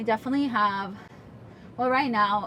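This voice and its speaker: There is noticeable background noise as a woman speaks in a fairly high pitch. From Russia. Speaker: podcaster and meme creator. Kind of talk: casual chat. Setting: home recording. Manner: fast; animated.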